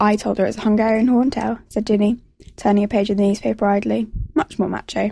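Read aloud in a natural voice, the passage has fairly even intonation.

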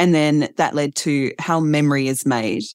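A woman's very deep, low voice with an Australian accent, dry and close with no echo, on a very clean recording with a silent background. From Australia, Adelaide. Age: 40s. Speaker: author and writer. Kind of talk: interview conversation.

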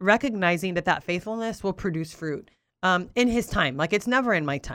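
With a Southern California accent, a woman talks at a moderate pace in an animated tone with lively intonation, in a very clean recording with a silent background. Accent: Southern Californian English. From Southern California (Oxnard), Puerto Rican-Cuban family. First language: Spanish. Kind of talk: interview conversation.

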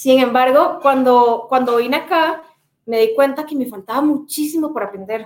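A woman speaks at a moderate pace in a high voice. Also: ordinary pitch variation. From Costa Rica. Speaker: sales executive. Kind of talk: interview.

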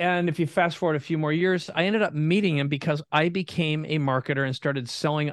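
A man with an Upper Midwest accent speaks at a fairly high pitch and a fairly quick pace, with ordinary pitch variation. The sound is dry and close with no echo, over a quiet background. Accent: Upper Midwest American. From Minnesota, US Midwest. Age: 50s. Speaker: entrepreneur. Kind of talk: interview.

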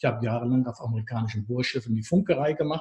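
A man speaks in a somewhat breathy voice. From northern Germany. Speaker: therapist trainer. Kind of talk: casual interview.

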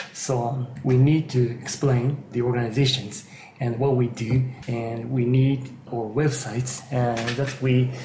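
A man with a Japanese accent talks at medium pitch and a fairly slow pace in a monotone, flat intonation. Noticeable background noise and audible room echo fill the recording. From Japan, Kanagawa Prefecture. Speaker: geriatric psychiatrist and yoga teacher. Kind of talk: interview. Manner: halting.

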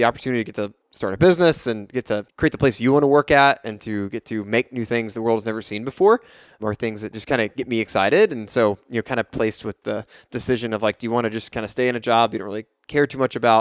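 Over a very clean recording with a silent background and a dry, close sound with no echo, a man with an American accent talks very fast at medium pitch with ordinary pitch variation. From Texas, Fort Worth. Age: 20s. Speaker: coffee company founder. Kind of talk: casual chat. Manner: many filler words; animated.

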